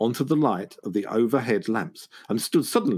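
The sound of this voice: This is an unforced reading voice. The words are read out plainly.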